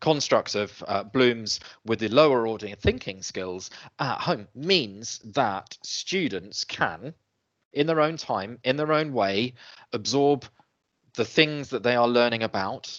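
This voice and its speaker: The background is quiet as a man talks at a very slow pace. He speaks at a medium pitch. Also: lively intonation. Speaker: webinar presenter, education trainer. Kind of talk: webinar presentation. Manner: hesitant, many fillers.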